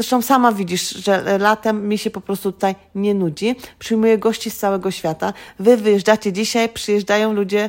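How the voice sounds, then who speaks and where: A woman's medium-pitched voice in monotone, flat intonation at a fairly quick pace. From Greater Poland, Poland. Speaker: educator living abroad. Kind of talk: casual interview. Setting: at her home.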